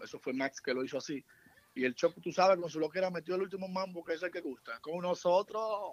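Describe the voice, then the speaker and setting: Dry and close with no echo, a man's high voice shows ordinary pitch variation. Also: fairly quick pace. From Santiago, Dominican Republic. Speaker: musician. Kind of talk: casual chat.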